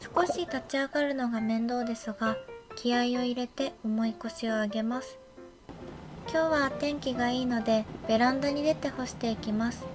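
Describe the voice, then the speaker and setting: A quiet voice with lively intonation moves at a moderate pace, broken by long, frequent pauses, with music playing in the background. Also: woman. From Japan. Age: 20s. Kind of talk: game video voice-over narration. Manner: quiet, low-energy.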